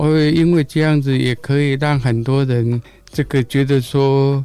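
A man has a normal speaking voice at a medium pitch, with fairly even intonation. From Taiwan, Gongliao, New Taipei. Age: 60s. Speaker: blind runner. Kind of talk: interview.

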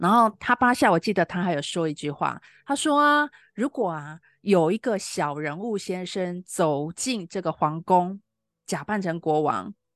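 Speaking at a fairly slow pace with very wide pitch swings, a woman is heard against a quiet background in a dry, close sound with no echo. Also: medium pitch for a woman. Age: 50s. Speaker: spiritual counselor podcaster. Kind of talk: reflective monologue. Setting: live online stream.

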